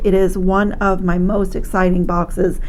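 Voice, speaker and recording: Audible room echo hangs around a woman speaking at a medium pitch with monotone, flat intonation. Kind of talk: product review tutorial.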